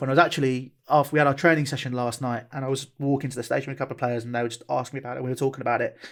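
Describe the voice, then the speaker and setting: A man with a southern English accent talks at a very fast pace. The recording is very clean, with a silent background. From southeast England. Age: 20s. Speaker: football club owner and content creator. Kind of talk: interview. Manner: animated.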